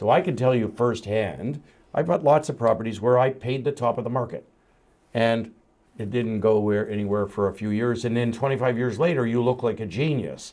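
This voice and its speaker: In a normal speaking voice, a man at medium pitch talks at a fairly quick pace with ordinary pitch variation against a quiet background. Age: 60s. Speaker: entrepreneur and investor. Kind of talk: casual chat.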